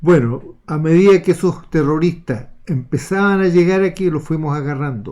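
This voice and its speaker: This man speaks with a Chilean accent in a dark, mellow tone, his pitch fairly high for a man with ordinary variation. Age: 70s. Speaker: retired naval officer. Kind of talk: political commentary monologue.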